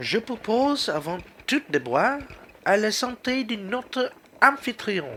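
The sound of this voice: A man puts on a character voice, pitched high, with big pitch swings. He speaks at a slow pace in a fairly bright tone.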